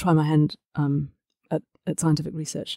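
A woman speaks fairly quickly in a very deep, low pitch with a dark, mellow tone. The recording is very clean and dry, close with no echo and a silent background. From New Zealand. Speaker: neuroscience professor. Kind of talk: interview.

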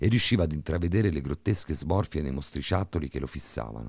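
A man with vocal fry and a very deep, low pitch speaks at a fairly quick pace, using a dramatic, menacing tone and lively intonation. The recording is very clean with a silent background, and the sound is dry and close with no echo. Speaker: horror story narrator. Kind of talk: creepypasta horror narration, tense bedtime ghost story reading. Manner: dramatic, suspenseful, building menace with shifts into a menacing booming villain voice.

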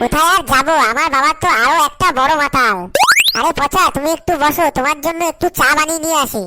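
A woman does a cartoonish character voice, high in pitch, at a very even loudness. Loud background noise runs underneath. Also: moderate pace. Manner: complaining, coy.

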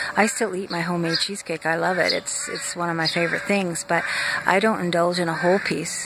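Over noticeable background noise, a woman speaks with ordinary pitch variation in a dry sound with no echo. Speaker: wellness coach. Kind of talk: casual vlog chat promoting a coaching program. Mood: warm, friendly. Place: garden. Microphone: phone near.

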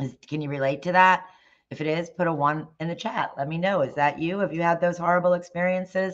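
A woman at a fairly quick pace, her pitch fairly low. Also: fairly even intonation. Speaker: dog groomer and salon owner. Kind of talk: live stream presentation. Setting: live stream from home. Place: home room. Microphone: webcam.

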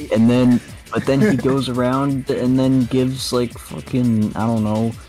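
Over faint music in the background, a man talks at a fairly slow pace. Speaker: streamer playing a fighting game. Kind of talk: gameplay commentary. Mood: frustrated, ranting. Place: home room. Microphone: headset.

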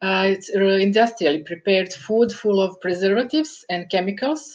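Lively intonation at a moderate pace against a quiet background. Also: woman. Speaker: professor, interview guest. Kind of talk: interview answer. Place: home room. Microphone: video call.

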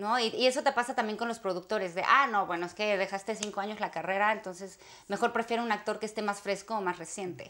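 A woman with a fairly high pitch and a bright, sharp tone speaks at a very fast pace, with fairly even intonation and hardly any pauses. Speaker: actress. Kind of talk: interview. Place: home room.

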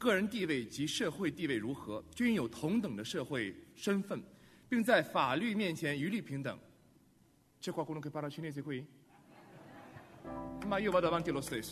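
At a moderate pace, a man with a fairly high pitch swings very widely up and down, pausing long and often. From China. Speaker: actor. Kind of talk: public reading of constitution article in Chinese. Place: hall. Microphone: podium.

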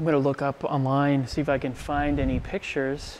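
Speech comes at a moderate pace with light background noise behind it. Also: man. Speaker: explorer vlogger. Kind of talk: casual vlog chat. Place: church. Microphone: phone near.

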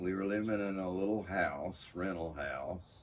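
The man's pitch is very deep and low. Light background noise can be heard. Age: 80s+. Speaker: artist. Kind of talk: interview. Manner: halting. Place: workshop.

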